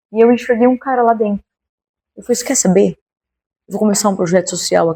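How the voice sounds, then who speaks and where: A woman is speaking. Her tone is animated. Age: 40s. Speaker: founder of a women's Bible study and street outreach project. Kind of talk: interview testimony.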